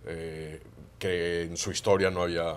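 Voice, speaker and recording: With a Catalan accent and a very deep, low pitch, a man speaks at a moderate pace. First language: Catalan (speaking Spanish). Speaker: international analyst. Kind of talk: panel discussion.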